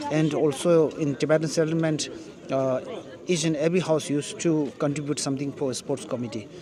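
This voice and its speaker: A fairly high-pitched man at a fairly quick pace, with fairly even intonation and noticeable background noise. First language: Tibetan. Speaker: vlogger. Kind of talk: interview answer.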